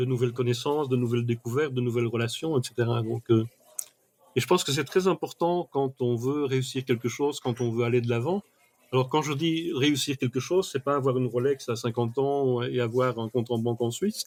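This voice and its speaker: At a fairly quick pace, a man talks at a medium pitch with ordinary pitch variation, the sound dry and close with no echo. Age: 60s. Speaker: mind mapping expert. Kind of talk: podcast interview. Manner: hesitant, with fillers.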